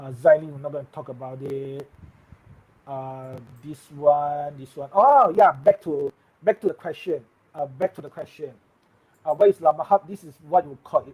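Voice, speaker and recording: Somewhat breathy and fairly high in pitch, a man speaks at a moderate pace with ordinary pitch variation and long, frequent pauses. His loudness swings widely, and the sound is dry and close with no echo. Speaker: tech live streamer. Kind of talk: live stream tech news chat. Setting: live stream.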